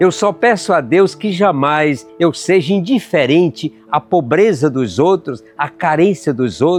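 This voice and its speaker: With music in the background, a man with a fairly high pitch talks at a very slow pace with lively intonation and hardly any pauses. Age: 80s. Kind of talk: reflective podcast monologue with spoken prayer. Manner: warm, heartfelt, reflective.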